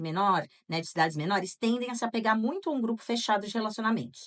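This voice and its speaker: With lively intonation, a woman races along at a very fast pace. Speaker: podcast co-host. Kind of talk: casual podcast chat with read-out listener accounts.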